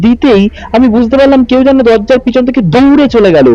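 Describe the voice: A man talks at a fairly quick pace with an extremely high pitch. His tone is dark and mellow.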